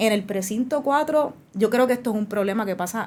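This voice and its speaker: Fairly quick in tempo, a plain, everyday voice carries ordinary pitch variation. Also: woman. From Puerto Rico, Bayamón. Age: 30s. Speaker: lawyer and legislative candidate. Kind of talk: interview.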